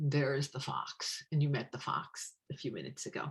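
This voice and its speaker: At a fairly slow pace, a woman speaks in a very deep, low voice. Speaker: tarot deck author and witch teacher. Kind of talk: online presentation.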